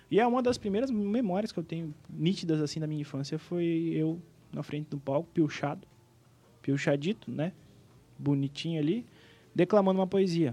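A man with a high pitch and a dark, mellow tone speaks at a moderate pace with ordinary pitch variation. He takes long, frequent pauses. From Rio Grande do Sul, Brazil (Planalto). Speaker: singer and events businessman. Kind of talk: casual interview chat.

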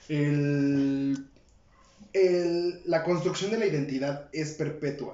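Someone with a Mexican accent speaks at a very slow pace with fairly even intonation. The recording has audible room echo and noticeable background noise. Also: man, fairly high pitch for a man. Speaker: podcast co-host. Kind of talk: casual chat.

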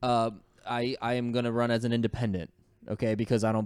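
A man with a northern US accent rattles off his words at a very fast pace, medium in pitch and monotone, with flat intonation. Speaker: podcast host. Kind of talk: casual chat. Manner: laughs often.

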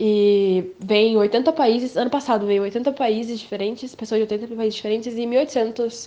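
Her voice is dark and mellow, pitched fairly high. This woman keeps a fairly even intonation. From Brazil, Campo Grande, Mato Grosso do Sul. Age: 18. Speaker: young science student. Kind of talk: interview answers.

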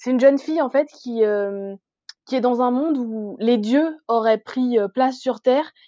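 This woman has a high pitch and ordinary pitch variation. She talks at a fairly slow pace. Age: 20s. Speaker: book blogger. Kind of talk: casual chat.

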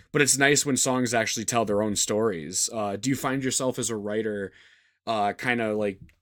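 An ordinary speaking voice from a man with an American accent, at a fairly quick pace with ordinary pitch variation. The recording is very clean, with a silent background. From United States. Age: 20s. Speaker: podcast and radio host. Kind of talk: casual interview chat.

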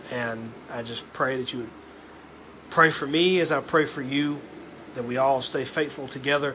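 Taking long, frequent pauses, a man with a Southern US accent speaks at a moderate pace with a fairly high pitch and fairly even intonation. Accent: Southern US (Georgia). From US South, Georgia. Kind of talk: devotional monologue. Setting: alone at home.

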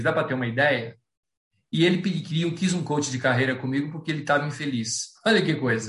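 The speech moves at a fairly quick pace with ordinary pitch variation. Room echo is audible. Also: man. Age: 60s. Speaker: planning and goal-setting speaker, amateur runner. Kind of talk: online talk with Q&A.

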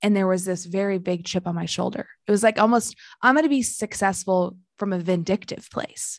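Against a quiet background, a woman speaks at a fairly quick pace with an American accent. She has an ordinary speaking voice, medium in pitch, with ordinary pitch variation. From rural Illinois. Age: 20s. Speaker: life coach. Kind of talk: casual chat.

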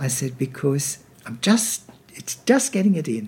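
With an Australian accent, a man speaks in a dark, mellow, somewhat breathy tone and lively intonation. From Sydney, Australia. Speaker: veteran musical theatre actor. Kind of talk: casual interview chat.

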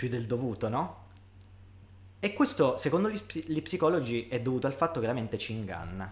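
Here a man's voice at medium pitch swings very widely in pitch. He sounds somewhat breathy and moves at a fairly quick pace. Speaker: podcast co-host. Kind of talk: casual chat.

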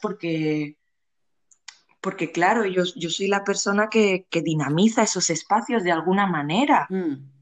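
A woman's unremarkable speaking voice at medium pitch with lively intonation. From Spain, Barcelona. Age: 20s. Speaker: guest, community organizer. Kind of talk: casual interview conversation.

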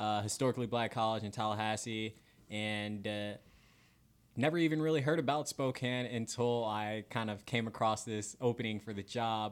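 Speaking with an American accent, a man has an unremarkable speaking voice at medium pitch, a moderate pace and fairly even intonation, on a very clean recording with a silent background. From Florida. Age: 20s. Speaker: TV news journalist. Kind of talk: casual interview chat.

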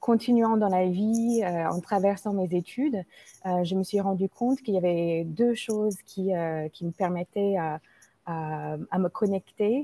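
A woman's very slow speech in an American accent, with a dark, mellow tone and a dry, close sound with no echo. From United States, Indian family. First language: English (speaking French). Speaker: mindfulness teacher. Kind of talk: interview. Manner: halting, many repetitions.

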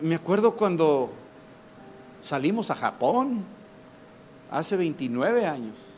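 Long, frequent pauses break up a man's very slow speech. His high pitch swings very widely. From Mexico. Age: 60s. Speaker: preacher. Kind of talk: sermon. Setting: stage with audience. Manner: animated.

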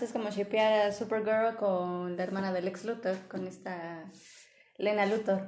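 A woman talks at a fairly slow pace. Her tone is dark and mellow. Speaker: podcast host. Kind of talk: casual chat. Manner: loud.

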